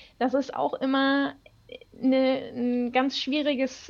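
This woman has a high pitch. She speaks at a very slow pace. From North Rhine-Westphalia, Germany. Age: 30s. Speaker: HR business partner. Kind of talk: casual chat.

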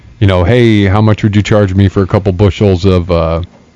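Delivered in a flat monotone, a man's very deep, low voice has a dark, mellow tone and an American accent at a moderate pace. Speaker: podcast host. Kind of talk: casual chat. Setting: studio.

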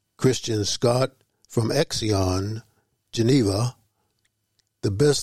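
Somewhat breathy male voice at a medium pitch with fairly even intonation. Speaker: jazz radio DJ. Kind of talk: radio DJ patter. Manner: relaxed, casual with fillers.

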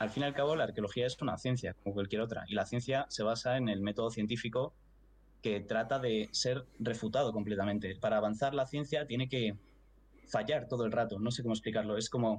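A somewhat breathy man at medium pitch, talking at a fairly quick pace with fairly even intonation and very even loudness against a quiet background. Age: 20s. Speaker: archaeology student. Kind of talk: casual chat.

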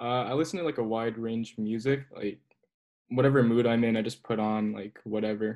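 This man has a normal speaking voice. He talks at a medium pitch with fairly even intonation. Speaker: club president. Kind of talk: casual chat.

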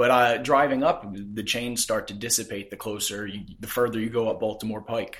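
At a moderate pace with hardly any pauses, a man with an American accent speaks at a medium pitch with fairly even intonation, an unremarkable speaking voice. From Philadelphia suburbs, US. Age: 20s. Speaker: podcast host. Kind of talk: interview. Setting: on location.

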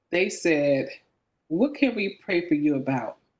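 With an ordinary speaking voice, a woman talks fairly slowly at a fairly low pitch with lively intonation. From San Francisco Bay Area, California. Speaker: military veteran. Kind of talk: faith testimony in casual interview.

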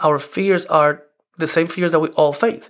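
A man speaks at a fairly quick pace with a non-native accent. The recording is very clean, with a silent background. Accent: foreign-accented English. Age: 40s. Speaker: podcast host. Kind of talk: solo podcast monologue, conversational. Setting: home office. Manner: informal, chatty, laughs often.

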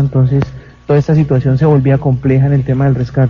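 A man speaks at medium pitch. His intonation is monotone and flat. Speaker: mayor and tragedy survivor. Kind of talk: on-site interview, guided tour. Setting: outdoors at night in the rain.

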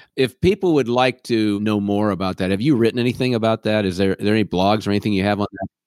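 At a very fast pace, a man with fairly low pitch and fairly even intonation speaks in a dry, close sound with no echo. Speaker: podcast host, business consultant. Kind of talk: podcast interview. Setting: studio with headphones.

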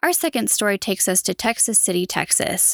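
A woman speaks in a normal speaking voice at a moderate pace. The sound is dry and close with no echo, on a very clean recording with a silent background. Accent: American. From Utah, US. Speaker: true crime podcaster. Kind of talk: true-crime news narration, scripted-sounding recap of headlines. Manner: serious, measured, somber.

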